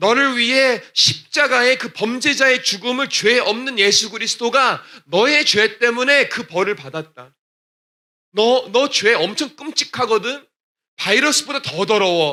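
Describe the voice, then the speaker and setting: A raised, projected voice with a bright, sharp tone, fairly slow pace and ordinary pitch variation. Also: man, extremely high pitch for a man. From Texas, US (Korean immigrant church). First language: English (speaking Korean). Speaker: gospel singer. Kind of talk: testimony. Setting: church.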